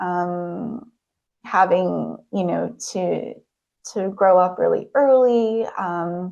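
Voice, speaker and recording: A soft-spoken woman's voice of medium pitch with a dark, mellow tone. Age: 30s. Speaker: hypnotherapist. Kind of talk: presentation talk. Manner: hesitant, many fillers.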